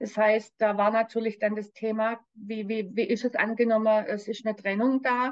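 Speaking at a moderate pace with hardly any pauses, a woman keeps a monotone, flat delivery in a fairly high pitch. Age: 60s. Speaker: spiritual coach and medium. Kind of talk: personal testimony interview.

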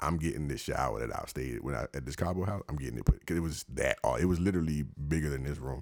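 A man with a very deep, low pitch and an American accent talks at a very fast pace with hardly any pauses, an animated tone, vocal fry, ordinary pitch variation and a dry, close sound with no echo. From Washington DC. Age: 30s. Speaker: podcast host. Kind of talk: casual chat. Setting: studio.

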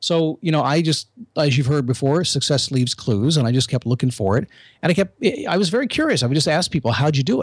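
Lively intonation and a fairly high pitch mark this man's somewhat breathy voice as he talks at a very fast pace in a very clean recording with a silent background. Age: 50s. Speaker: motivational podcaster, former radio host. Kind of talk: interview.

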